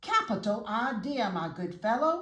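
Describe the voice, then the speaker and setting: In a put-on character voice, a woman speaks at a moderate pace with a fairly high pitch. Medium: read story. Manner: brash.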